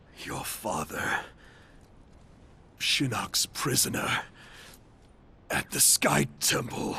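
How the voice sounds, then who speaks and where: In a raspy, cartoonish character voice of medium pitch, a man talks at a very slow pace with long, frequent pauses over clear background noise. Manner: menacing.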